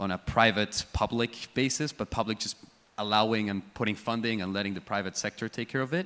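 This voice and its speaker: A man talks at a fairly quick pace with an American accent. His pitch is fairly low, with ordinary variation. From Spain. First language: Spanish. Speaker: bitcoin mining panelist. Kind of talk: conference panel discussion.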